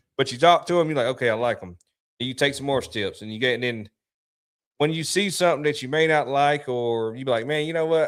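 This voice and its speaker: A man's fairly high voice racing at a very fast pace, with ordinary pitch variation. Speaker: podcast host. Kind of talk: casual chat.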